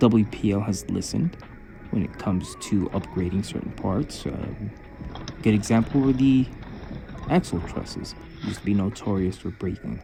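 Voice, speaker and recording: A man speaks at a moderate pace and a fairly low pitch, his intonation lively, while noticeable background noise carries on around him. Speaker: RC hobby YouTuber. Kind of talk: product opinion vlog. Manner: careful enunciation.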